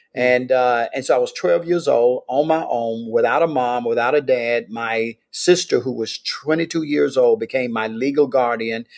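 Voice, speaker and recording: This man talks with a Mississippi accent at a medium pitch. His pace is moderate and his pitch variation is ordinary. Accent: Mississippi Southern US. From US South, Meridian, Mississippi. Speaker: pastor. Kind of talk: interview, life story.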